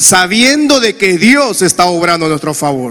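Raised, projected voice with an animated tone at a moderate pace, plus audible room echo and noticeable background noise. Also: man. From Honduras. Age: 40s. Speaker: pastor. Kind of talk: sermon.

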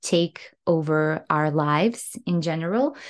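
A woman speaks very slowly in a fairly low voice against a quiet background. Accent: Serbo-Croatian. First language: Serbo-Croatian. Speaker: English coach podcaster. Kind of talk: solo podcast talk. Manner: animated.

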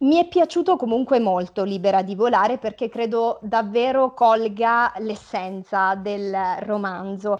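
Her pace is fairly slow. This woman's pitch sits fairly high and varies in an ordinary way. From Italy, home town left for Milan. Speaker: emerging novelist. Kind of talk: interview, casual chat. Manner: hesitant with fillers.

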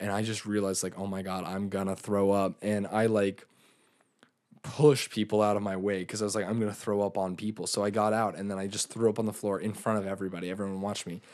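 A man speaks very fast in a fairly low, flat monotone. The recording is very clean, with a silent background. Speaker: podcast co-host. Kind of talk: casual chat.

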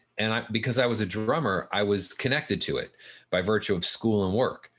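A man with an American accent speaks at a moderate pace in a bright, sharp tone against a quiet background. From Southern California. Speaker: film finance consultant. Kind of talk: interview.

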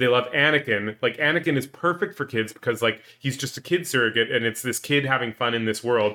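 With a Canadian accent, a man speaks at a fairly quick pace with hardly any pauses, in a plain, everyday voice of medium pitch and ordinary pitch variation. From Canada, Edmonton. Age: 30s. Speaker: podcast co-host. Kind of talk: casual chat.

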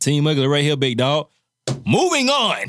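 A man's fairly high-pitched, a plain, everyday voice at a moderate pace. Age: 30s. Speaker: podcast co-host. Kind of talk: casual chat.

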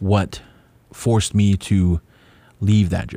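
A man at a very slow pace, fairly low in pitch with fairly even intonation, in a very clean recording with a silent background. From Hawaii, Kauai. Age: 30s. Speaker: podcast host. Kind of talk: solo podcast monologue.

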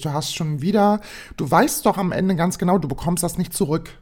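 An animated woman with lively intonation, in a very clean recording with a silent background. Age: 20s. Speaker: solo podcast host. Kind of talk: casual monologue. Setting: home recording at own microphone.

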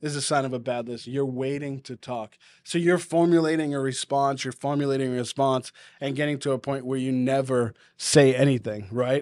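Over a very clean recording with a silent background, a man of medium pitch talks at a fairly quick pace in a slight Boston accent, his intonation fairly even and the sound dry, close and echo-free. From New England, US. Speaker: podcast host and churchgoer. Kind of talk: casual podcast chat with encouragement. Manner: warm, encouraging.

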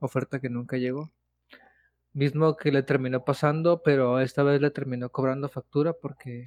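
The man has a Mexican accent and a fairly high pitch, speaking at a moderate pace. The sound is dry and close, with no echo. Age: 20s. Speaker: podcast co-host. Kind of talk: casual chat.

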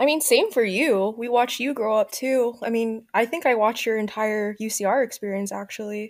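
A woman speaks fairly quickly with hardly any pauses, at a fairly high pitch with ordinary pitch variation. It is an ordinary speaking voice. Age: 20s. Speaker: podcast guest, recent graduate. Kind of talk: casual chat.

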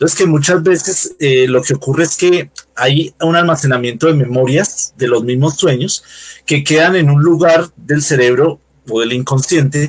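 Somewhat breathy male speech at a fairly high pitch and moderate pace, with ordinary pitch variation and very even loudness. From Colombia, Bogotá. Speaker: UFO and spirituality researcher. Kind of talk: interview. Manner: halting, many fillers.

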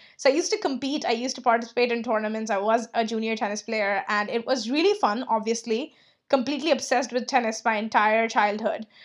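Over a quiet background, a woman talks at a very fast pace with hardly any pauses, an enthusiastic tone, fairly high pitch, and ordinary pitch variation. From India. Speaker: freelance business coach and podcast host. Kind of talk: casual solo podcast monologue.

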